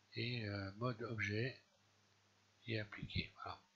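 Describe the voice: Slowly, a man speaks with little pitch movement. His tone is fairly bright with a slightly husky edge.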